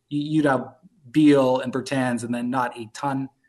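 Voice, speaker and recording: A man has an unremarkable speaking voice at a medium pitch. His intonation is fairly even. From Canada (Toronto). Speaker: fantasy basketball analyst. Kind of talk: casual interview.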